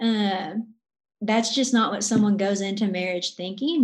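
A woman speaks at a fairly slow pace in a somewhat breathy, medium-pitched voice with ordinary pitch variation. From Arkansas. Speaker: college ministry worker. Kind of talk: casual interview.

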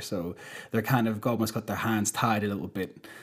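A very fast man with a Northern Irish accent, fairly low in pitch, with fairly even intonation. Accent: Northern Irish (Belfast). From Northern Ireland, Belfast. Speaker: touring sound engineer. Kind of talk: casual chat.

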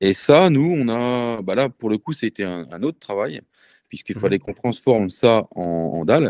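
Fairly low-pitched, a man speaks with lively intonation on a very clean recording with a silent background and a dry, close sound with no echo. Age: 40s. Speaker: entrepreneur. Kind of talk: interview. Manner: halting.

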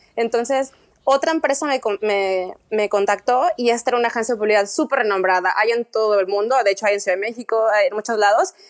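The speaker has a Mexican accent and a very fast pace. Loudness stays very even, with ordinary pitch variation. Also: woman, fairly high pitch for a woman. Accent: Mexican Spanish (Jalisco). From Mexico, Guadalajara. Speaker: art director, emigrant. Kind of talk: interview.

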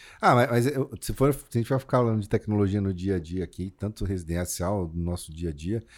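On a very clean recording with a silent background, a man in a normal speaking voice talks fairly quickly at a fairly low pitch with ordinary pitch variation. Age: 40s. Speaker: podcast host. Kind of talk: casual chat.

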